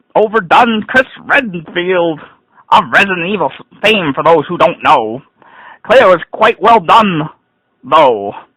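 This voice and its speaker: In a raised, projected voice, a man speaks at a high pitch with very wide pitch swings. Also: long, frequent pauses. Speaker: gaming blogger reviewing an event. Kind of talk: dramatic reading of a rant. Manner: ranting, sarcastic, annoyed.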